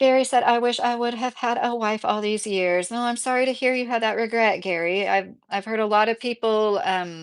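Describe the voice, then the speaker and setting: A woman speaks with a Midwestern accent at a fairly high pitch and ordinary pitch variation. Her moderate pace has hardly any pauses, over a quiet background. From southern Indiana. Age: 30s. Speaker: YouTube commentator. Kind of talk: livestream chat reading comments. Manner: casual, many fillers.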